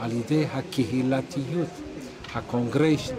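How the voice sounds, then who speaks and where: A man with a medium-pitched voice and ordinary pitch variation talks at a very slow pace, amid noticeable background noise and audible room echo. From Jerusalem, Israel. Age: 70s. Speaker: rabbi. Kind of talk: oral history interview.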